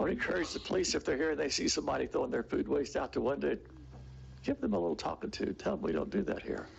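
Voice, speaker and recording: This man talks at a very fast pace. His loudness stays very even throughout. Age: 80s+. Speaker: resident speaking at public comment. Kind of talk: public comment at city meeting. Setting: city commission meeting.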